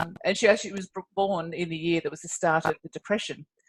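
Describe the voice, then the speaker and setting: A woman's fairly low, somewhat breathy voice with a dry, close sound and no echo. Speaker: podcast host. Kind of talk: podcast introduction.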